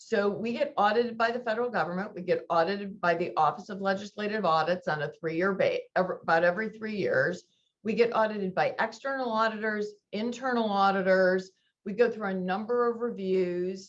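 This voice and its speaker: A woman's medium-pitched voice with ordinary pitch variation at a fairly quick pace. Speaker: university procurement officer. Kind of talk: webinar presentation. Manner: fast.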